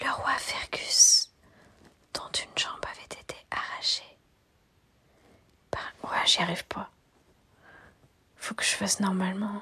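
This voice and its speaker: A whisper delivered at a very slow pace, with long pauses coming often. Background noise is noticeable throughout. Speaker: ASMR streamer. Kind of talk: reading aloud. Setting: live stream. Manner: whispering.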